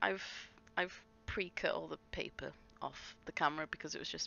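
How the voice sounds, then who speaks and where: A woman with an English accent, mumbling at a moderate pace. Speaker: scrapbooking vlogger. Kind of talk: craft process voiceover. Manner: halting.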